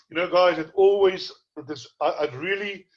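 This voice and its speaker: A man talks in a somewhat breathy voice. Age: 60s. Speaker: horse racing tipster. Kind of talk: tutorial.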